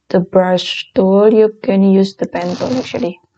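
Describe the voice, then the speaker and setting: A woman with a non-native accent speaks at a medium pitch in a dark, mellow tone with fairly even intonation. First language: not English. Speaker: design tutorial creator. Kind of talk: tutorial.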